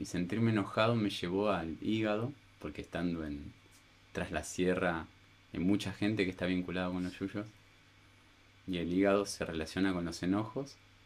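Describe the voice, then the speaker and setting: Speaking in a Rioplatense accent, a man with a very deep, low pitch keeps a moderate pace and fairly even intonation, broken by long, frequent pauses. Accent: Argentine Spanish (rioplatense). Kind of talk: casual chat. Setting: at home.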